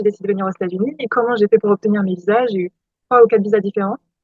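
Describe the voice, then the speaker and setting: Her pitch sits fairly high and her intonation stays fairly even. The woman talks at a very fast pace. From France, Loire-Atlantique. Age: 20s. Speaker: PhD student and vlogger. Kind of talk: casual vlog. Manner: hesitant, many fillers.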